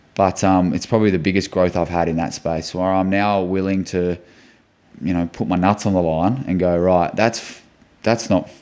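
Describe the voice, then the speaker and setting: A man with an Australian accent and a very deep, low pitch, at a moderate pace with fairly even intonation, in a very clean recording with a silent background. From Western Australia (Port Hedland). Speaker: football club captain. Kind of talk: podcast interview. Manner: loud.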